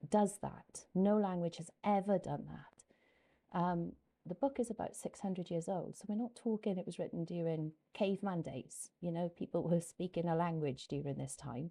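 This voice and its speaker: A dark, mellow tone with lively intonation at a moderate pace. The recording is very clean, with a silent background. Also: woman. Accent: Welsh. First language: Welsh. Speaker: YouTuber and English teacher. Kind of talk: casual personal explanation to camera. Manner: hesitant, many fillers.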